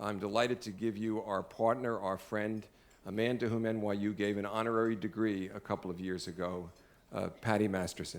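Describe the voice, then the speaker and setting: A man in a strong Brooklyn accent, fairly quick and flat in a monotone. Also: fairly low pitch for a man. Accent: heavy Brooklyn. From US Northeast, Brooklyn, New York. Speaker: law school dean, event emcee. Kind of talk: formal dinner introduction. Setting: dinner event with audience. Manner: halting, many fillers.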